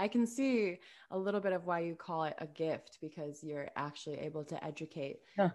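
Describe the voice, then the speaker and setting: In a very clean recording with a silent background, a woman talks at a fairly quick pace. She has a plain, everyday voice, fairly low pitch, and ordinary pitch variation. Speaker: podcast host. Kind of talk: scripted intro then interview chat. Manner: warm, effusive.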